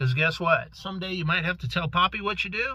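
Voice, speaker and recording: This man talks at a fairly quick pace, his high-pitched voice carrying lively intonation. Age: old. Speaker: vlogger. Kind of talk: casual advice monologue. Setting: waiting outside a doctor's office. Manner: rambling with fillers.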